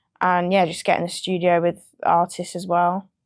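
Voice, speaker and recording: Speaking at a moderate pace with a medium pitch, a woman with a British accent comes through on a very clean recording with a silent background. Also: dry, close sound with no echo. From England, North London. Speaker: music producer. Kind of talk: interview.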